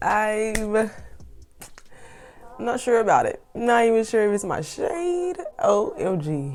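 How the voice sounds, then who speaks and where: Speaking with an American accent, this woman's voice sits at a fairly high pitch. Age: 20s. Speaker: beauty consultant. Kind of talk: casual talk to camera.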